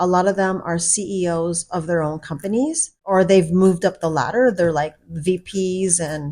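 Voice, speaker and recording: With an ordinary speaking voice, a woman of medium pitch talks at a moderate pace with ordinary pitch variation on a very clean recording with a silent background. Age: 50s. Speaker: vlogger. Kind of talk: personal vlog monologue. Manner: casual conversational.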